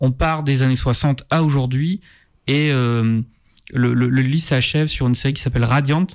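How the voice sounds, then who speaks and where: A man speaks fairly slowly in an ordinary speaking voice, with medium pitch and fairly even intonation. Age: 30s. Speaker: film journalist. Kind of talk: casual chat. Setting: studio.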